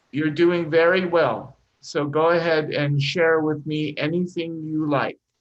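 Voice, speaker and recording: At a fairly slow pace, a man with a fairly high pitch speaks in a monotone, flat intonation. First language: not English. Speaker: English teacher. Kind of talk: live online English class. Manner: encouraging, patient.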